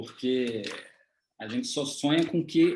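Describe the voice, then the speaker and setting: Here a man speaks with a fairly high pitch and ordinary pitch variation. His pace is fairly slow. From Brazil. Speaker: photographer interviewer. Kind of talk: interview conversation. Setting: video call.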